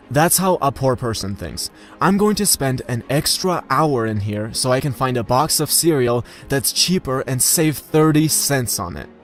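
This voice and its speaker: A man with a non-native accent at medium pitch and a moderate pace, lively intonation, music in the background. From post-Soviet country. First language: not English. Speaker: YouTuber on money and success. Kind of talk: monologue.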